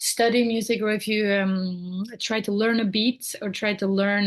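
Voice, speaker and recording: A woman speaks with a somewhat breathy voice. Her intonation stays flat and monotone. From Norway. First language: Norwegian. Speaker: singer-songwriter. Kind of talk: podcast interview answer.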